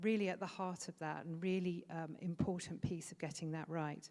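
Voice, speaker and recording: The speech comes at a moderate pace with a British accent. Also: woman. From Britain. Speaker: food safety trainer. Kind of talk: conference presentation. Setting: conference stage with audience. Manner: hesitant with frequent fillers.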